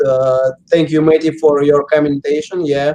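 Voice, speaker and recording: A dark, mellow tone with a Russian accent and monotone, flat intonation. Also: man. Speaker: professional paintball player. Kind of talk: interview. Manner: halting, many fillers.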